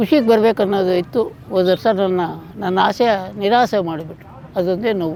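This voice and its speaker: Noticeable background noise sits behind the speech. A man talks in a high pitch with ordinary pitch variation. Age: 80s+. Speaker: cattle farmer. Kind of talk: casual interview.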